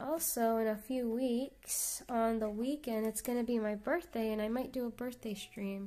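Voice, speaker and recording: Soft-spoken and fairly high-pitched, a woman with a dark, mellow tone speaks at a moderate pace with ordinary pitch variation and hardly any pauses. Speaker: artist streamer. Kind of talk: casual live stream chat.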